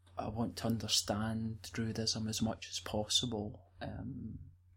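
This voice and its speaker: Speaking at a very slow pace, a man with a Scottish accent sounds somewhat breathy. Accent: Scottish, rolls R's. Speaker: druid. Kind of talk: interview, storytelling. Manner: hesitant, many fillers.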